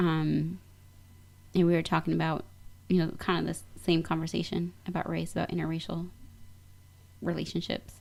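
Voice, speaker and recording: In a very clean recording with a silent background, a woman with an American accent talks at a moderate pace with long, frequent pauses. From US Midwest. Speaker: radio show guest. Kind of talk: casual conversation.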